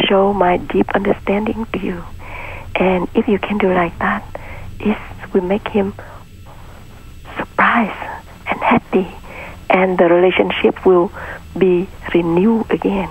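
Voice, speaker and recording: A medium-pitched woman's voice, monotone and flat in intonation, at a fairly slow pace over noticeable background noise. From Vietnam. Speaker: Buddhist nun and peace teacher. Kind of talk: interview. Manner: halting.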